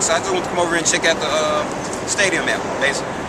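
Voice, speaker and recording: A man with an American accent talks at a very fast pace, his pitch fairly high. Noticeable background noise and audible room echo surround him. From US South, Memphis, Tennessee. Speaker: passer-by interviewed on the street. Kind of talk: street interview. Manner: casual, hesitant with fillers.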